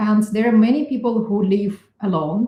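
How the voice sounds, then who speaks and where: Speaking with a non-native accent, a woman with a dark, mellow tone talks at a fairly slow pace. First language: not English. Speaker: neuroscientist. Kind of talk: interview. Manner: hesitant, many fillers.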